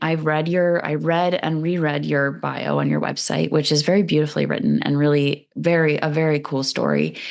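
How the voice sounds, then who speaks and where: Over noticeable background noise, a woman keeps a moderate pace with hardly any pauses. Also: very even loudness. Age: 30s. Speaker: podcast host. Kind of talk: interview.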